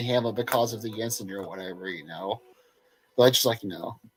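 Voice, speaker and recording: An American accent at a fairly quick pace, with music in the background. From Appalachia, US South. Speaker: NASCAR podcast co-host. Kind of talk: casual chat.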